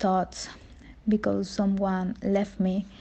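A woman speaks with a Spanish accent at a medium pitch. Her voice is somewhat breathy and her intonation monotone and flat. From Mexico, Veracruz. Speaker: community member. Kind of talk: testimony. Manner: halting.

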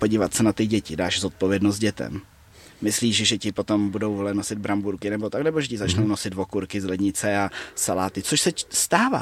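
This man has a plain, everyday voice, fairly low in pitch, and he speaks at a fairly quick pace in a dry, close sound with no echo. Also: ordinary pitch variation. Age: 20s. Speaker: martial arts fighter and coach. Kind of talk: casual interview chat.

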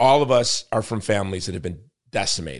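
Over a quiet background, a man talks at a fairly quick pace with vocal fry. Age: 50s. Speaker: podcast host. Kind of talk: casual interview conversation; show outro with sponsor reads.

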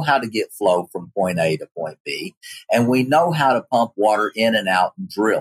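A man with an Appalachian accent at medium pitch, moderate pace, and lively intonation, in a dry, close sound with no echo. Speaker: geology professor. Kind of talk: interview.

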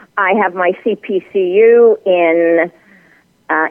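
The woman's voice sits at a medium pitch. Its rise and fall is ordinary. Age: 80s+. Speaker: radio host and author. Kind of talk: interview.

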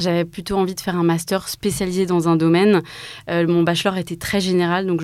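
In a plain, everyday voice, a woman talks at a moderate pace with a fairly low pitch. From Alsace, France (Mulhouse). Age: 20s. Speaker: start-up co-founder. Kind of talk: interview.

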